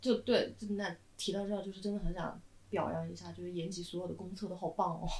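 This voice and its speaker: Over noticeable background noise, a woman speaks very fast at a medium pitch, her intonation monotone and flat but her loudness swinging widely. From southern China. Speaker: screenwriter. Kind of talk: casual chat.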